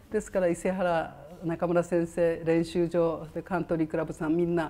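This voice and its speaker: Her tone dark and mellow, a woman speaks at a fairly low pitch with monotone, flat intonation. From Japan, Fukushima; Japan. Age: 70s. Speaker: retired professional golfer. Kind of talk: interview. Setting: golf club memorial room. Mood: warm, grateful. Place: office.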